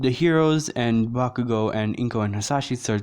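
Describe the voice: A plain read-aloud passage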